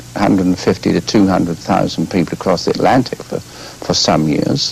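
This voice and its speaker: In an unremarkable speaking voice, a man talks at a moderate pace with a fairly low pitch. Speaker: guest. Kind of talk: interview answer. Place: studio.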